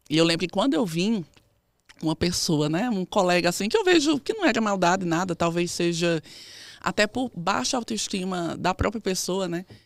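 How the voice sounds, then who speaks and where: Speaking at a moderate pace, a woman uses a fairly low pitch with ordinary variation, and the sound is dry and close with no echo. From Northeast Brazil, Campina Grande, Paraíba. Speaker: physiotherapist and researcher. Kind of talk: interview.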